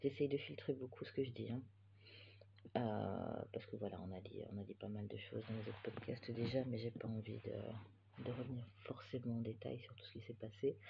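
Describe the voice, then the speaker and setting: At a moderate pace, a man with a medium-pitched voice and vocal fry speaks with fairly even intonation and big swings in loudness. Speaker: knitting podcaster and yarn dyer. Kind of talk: casual chat. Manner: hesitant, many filler sounds.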